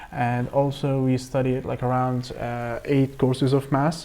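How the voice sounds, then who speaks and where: A man speaks at a medium pitch with an Arabic accent. His pace is fairly slow and his intonation monotone and flat. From Egypt. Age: 20s. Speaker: AI engineer and researcher. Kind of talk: presentation. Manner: halting, many fillers and repetitions.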